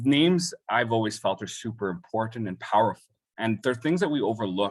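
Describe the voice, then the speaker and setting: A man talks at a fairly quick pace. The recording is very clean with a silent background. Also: medium pitch for a man, lively intonation. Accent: Canadian. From Calgary, western Canada. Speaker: high school English teacher. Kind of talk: panel presentation. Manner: halting, many repetitions.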